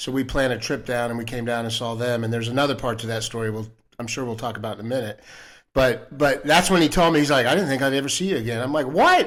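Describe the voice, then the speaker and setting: Over a silent background in a very clean recording, a man talks at a very fast pace, his medium pitch showing ordinary variation. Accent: American. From Florida, US. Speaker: Air Force veteran. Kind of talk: casual chat.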